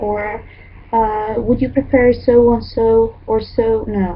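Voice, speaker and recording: A woman speaks in an Arabic accent. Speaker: English teacher. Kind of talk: online lecture. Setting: online class with chat. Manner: halting.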